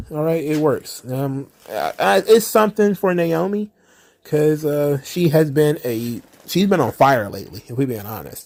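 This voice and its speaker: A man's fairly high, fairly slow voice, with very wide pitch swings and big swings in loudness. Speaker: wrestling commentary youtuber. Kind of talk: casual solo commentary. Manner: halting, filler-heavy.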